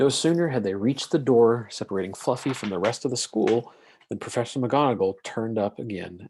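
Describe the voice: The text is read aloud plainly. Nothing more is added to the reading.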